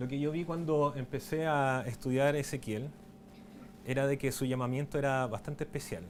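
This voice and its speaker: This man's voice is fairly high in pitch, with ordinary pitch variation and a moderate pace. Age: 30s. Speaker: documentary filmmaker and writer giving a talk. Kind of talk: conference talk. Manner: hesitant, many fillers and restarts.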